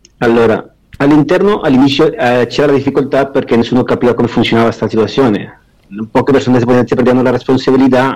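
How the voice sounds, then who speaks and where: Speaking very fast with a Spanish accent, a man keeps his loudness very even and his intonation fairly even. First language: Spanish (speaking Italian). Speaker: prisoner on day release. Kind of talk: interview.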